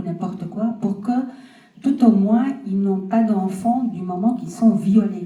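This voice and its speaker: Audible room echo surrounds a woman's medium-pitched voice, which has fairly even intonation. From Flanders, Belgium. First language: Dutch (speaking French). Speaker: audience member, family planning worker. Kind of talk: audience question.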